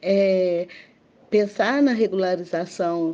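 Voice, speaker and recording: Her voice is medium in pitch with a dark, mellow tone and ordinary pitch variation, belonging to a woman. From Belo Horizonte, Minas Gerais, Brazil. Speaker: quilombo community leader. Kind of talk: interview testimony. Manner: halting, many fillers.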